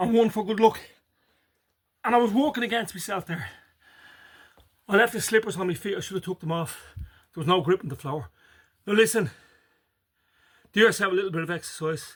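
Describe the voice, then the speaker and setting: A man with a Dublin accent speaks at a fairly quick pace with long, frequent pauses. His pitch is high, with ordinary variation. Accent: Irish (Dublin). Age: 50s. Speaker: farmer and health vlogger. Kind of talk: casual motivational vlog.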